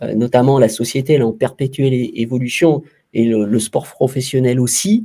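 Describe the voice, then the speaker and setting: At a moderate pace, a man speaks in a somewhat breathy, dark, mellow voice of medium pitch. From France, Saint-Étienne. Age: 50s. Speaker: former sports journalist and club executive. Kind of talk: interview. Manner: halting, many repetitions and hesitations.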